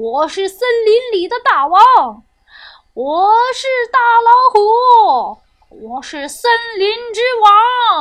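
A put-on character voice with a fairly bright tone takes big swings in pitch. It moves at a slow pace.

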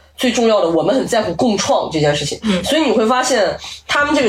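Someone speaks very fast in an animated tone with music playing in the background. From not from Beijing. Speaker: podcast guest, entertainment commentator. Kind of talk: casual chat.

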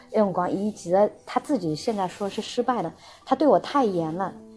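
Music plays in the background as a woman speaks at a fairly quick pace. Her intonation is lively. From Shanghai and Xinjiang. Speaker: guest sharing life story. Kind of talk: casual interview.

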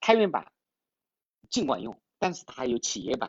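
Using lively intonation and a fairly quick pace, a man talks at a fairly high pitch with vocal fry. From China, Changsha, Hunan. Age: 50s. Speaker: tech startup founder and CEO. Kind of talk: interview, casual conversation. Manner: hesitant, many fillers.

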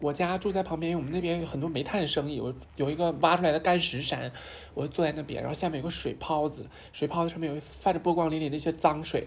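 A woman talks at a very fast pace in a very deep, low voice, her intonation fairly even. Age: 20s. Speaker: transgender woman sharing her life story. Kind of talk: casual chat. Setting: office meeting room, candlelit, with wine.

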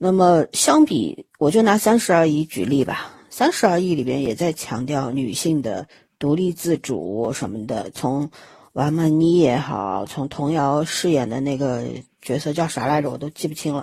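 A woman's very deep, low voice with a dark, mellow tone, lively intonation and a fairly slow pace. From Shanghai. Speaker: podcast host. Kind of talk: casual chat. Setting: remote recording.

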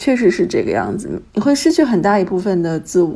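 Speaking at a fairly quick pace, a woman shows vocal fry and very wide pitch swings. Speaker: writer and stay-at-home mother. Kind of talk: casual chat.

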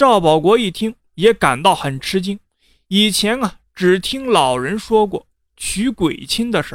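Plain reading aloud against a quiet background

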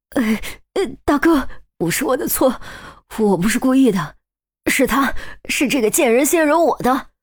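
A female-sounding put-on character voice, high and shaky, at a moderate pace with long, frequent pauses. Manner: panicked, pleading.

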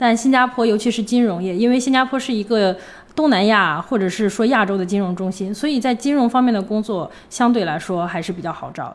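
Someone speaks at a fairly quick pace in a Hebei accent, with ordinary pitch variation. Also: woman, fairly high pitch for a woman. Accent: Hebei accent, close to Tianjin intonation. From northern China, Hebei (Hengshui). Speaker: former scholarship student, finance professional. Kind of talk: interview conversation. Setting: at home.

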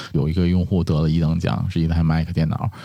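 A man's very deep, low voice, dark and mellow in tone, at a very fast pace. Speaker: podcaster. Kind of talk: casual chat.

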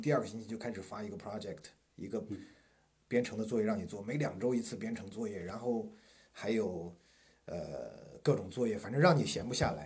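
A man's somewhat breathy voice with lively intonation at a fairly quick pace, plus audible room echo. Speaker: university professor. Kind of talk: casual interview chat.

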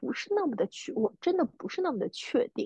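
With a dry, close sound and no echo, the voice has a dark, mellow tone, a fairly quick pace and very wide pitch swings. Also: woman. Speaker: podcast co-host, freelancer. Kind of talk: casual chat.

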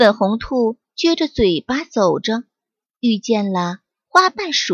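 Someone reads in an unforced reading voice against a quiet background.

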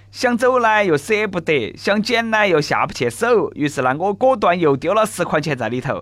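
His pitch swings very widely as a man talks at a moderate speed. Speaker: radio host. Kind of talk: comedic news talk show. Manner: animated.

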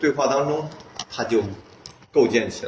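A man's voice over noticeable background noise. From Northeast China, Heilongjiang. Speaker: artist. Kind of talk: casual interview. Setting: artist's studio. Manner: halting, many fillers.

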